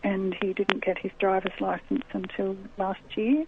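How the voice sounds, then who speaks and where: Background noise is noticeable. Over it, a woman talks fairly slowly. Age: 60s. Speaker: author interviewed about grief. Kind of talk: radio interview.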